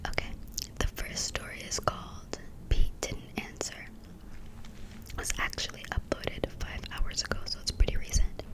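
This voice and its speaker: Someone whispers at a moderate pace with long, frequent pauses over noticeable background noise. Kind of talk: casual ASMR talk to camera. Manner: whispered.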